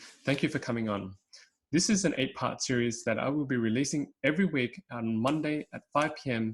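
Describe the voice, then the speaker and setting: A man with a normal speaking voice talks at a moderate pace on a very clean recording with a silent background. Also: medium pitch for a man, ordinary pitch variation. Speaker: podcast host. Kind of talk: interview questions.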